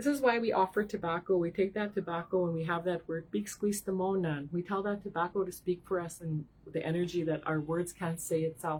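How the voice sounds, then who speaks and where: A woman talks at a fairly quick pace with hardly any pauses. Her pitch is fairly low, with ordinary pitch variation. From Saskatchewan, Canada. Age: 40s. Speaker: spiritual card reader. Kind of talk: live-stream tarot reading. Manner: fast.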